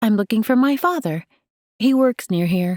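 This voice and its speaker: In a put-on character voice, a woman speaks with a gentle tone, fairly high pitch and very wide pitch swings at a moderate pace, on a very clean recording with a silent background. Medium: read story. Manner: soft, gentle.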